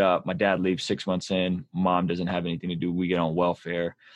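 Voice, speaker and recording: Here a man talks at a moderate pace with a West Coast accent. His pitch is very deep and low. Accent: American English, West Coast. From born in Azerbaijan, raised in San Diego. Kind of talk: casual chat.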